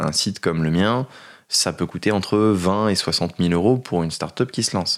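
Ordinary pitch variation marks this voice. It belongs to a man. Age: 30s. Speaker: startup founder. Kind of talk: casual chat.

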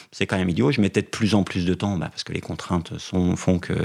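Very fast and with lively intonation, a man talks in a very deep, low pitch. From France, Vosges (near Remiremont). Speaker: motoring journalist and cycling blogger. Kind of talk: interview.

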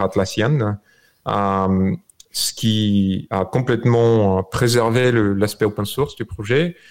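A man speaks very slowly with a Bulgarian accent. His fairly low pitch follows a fairly even intonation. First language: Bulgarian (speaking French). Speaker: software creator. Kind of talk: remote interview. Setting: video call from home.

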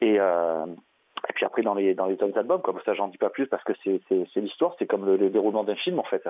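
Long pauses break up the speech frequently. Between them, the delivery is fairly quick. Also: man. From southern France, Marseille area. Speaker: metal band vocalist. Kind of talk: interview. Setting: phone call. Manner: halting, many repetitions.

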